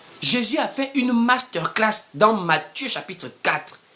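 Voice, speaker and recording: Amid noticeable background noise, a man speaks very slowly at an extremely high pitch. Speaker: preacher. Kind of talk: sermon. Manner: animated.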